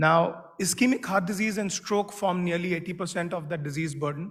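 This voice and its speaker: Loud and fairly even in intonation, a man speaks at a moderate pace with a high pitch. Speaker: medical device executive. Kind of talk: conference talk.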